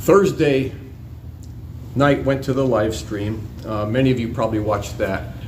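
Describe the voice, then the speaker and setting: A man of medium pitch speaks at a moderate pace with lively intonation and long, frequent pauses. Audible room echo and noticeable background noise are present. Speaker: vigil co-host, activist. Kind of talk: casual report. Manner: loud.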